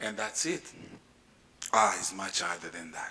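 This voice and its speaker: A man's voice carries audible room echo. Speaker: space agency director. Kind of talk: conference panel talk.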